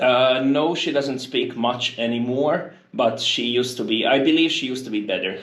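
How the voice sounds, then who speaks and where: Speaking with a Hungarian accent, a man uses ordinary pitch variation and hardly any pauses. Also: medium pitch for a man, moderate pace. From Hungary. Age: 20s. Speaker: university international office worker. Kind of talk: casual interview conversation. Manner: hesitant, many fillers.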